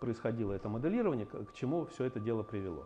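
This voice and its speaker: With lively intonation, a man talks at a fairly quick pace over light background noise. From Russia. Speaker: engineering scientist and company head; invited lecturer. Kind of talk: lecture. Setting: university seminar with slides. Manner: halting, many filler sounds. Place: meeting room.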